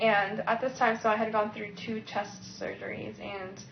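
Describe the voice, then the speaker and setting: A woman speaks in a normal speaking voice at a fairly slow pace. Her intonation stays fairly even. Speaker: cancer survivor. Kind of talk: testimony.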